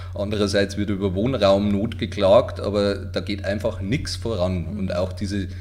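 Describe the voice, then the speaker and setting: Amid noticeable background noise and audible room echo, a man talks at a moderate pace with hardly any pauses, in a fairly low, monotone, flat voice. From Bavarian Forest, Lower Bavaria (Waldkirchen). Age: 40s. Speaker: self-employed writing office owner. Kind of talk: casual interview.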